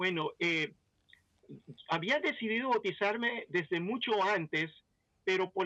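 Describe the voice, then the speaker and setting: In an English accent, a man talks at a fairly slow pace with a high pitch. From Belize. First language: English (speaking Spanish). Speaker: pastor. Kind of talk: testimony.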